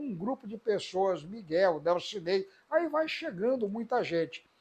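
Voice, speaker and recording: Against a quiet background, a man with a high-pitched voice talks at a fairly slow pace with lively intonation. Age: 60s. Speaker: politician and professor. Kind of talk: interview testimony.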